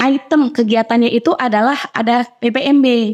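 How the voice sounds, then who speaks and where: The woman's voice sits at a fairly high pitch. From Central Java, Indonesia. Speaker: women's religious organization leader and preacher. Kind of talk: podcast interview.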